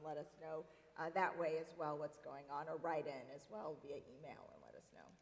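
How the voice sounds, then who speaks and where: A woman speaks at a fairly quick pace with an American accent. Noticeable background noise runs behind her. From US South, Tennessee. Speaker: TV morning show reporter and anchor. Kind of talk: interview conversation.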